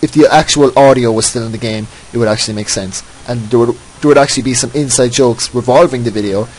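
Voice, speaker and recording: A man with a medium pitch rattles off his words at a very fast pace. Noticeable background noise accompanies his fairly even intonation. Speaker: gaming commentator. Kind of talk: gameplay voice-over commentary. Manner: halting, repeating words.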